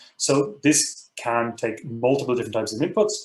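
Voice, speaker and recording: A man speaks somewhat breathily at a medium pitch with ordinary pitch variation. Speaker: university professor teaching a software workshop. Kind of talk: technical training tutorial. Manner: fast; many fillers and repeated words.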